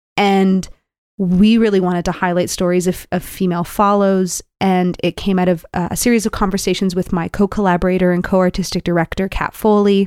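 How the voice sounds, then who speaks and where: The recording is very clean, with a silent background and a dry, close sound with no echo. The speech moves at a fairly quick pace. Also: woman, medium pitch for a woman. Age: 30s. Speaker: dancer and choreographer. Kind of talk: interview. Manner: animated.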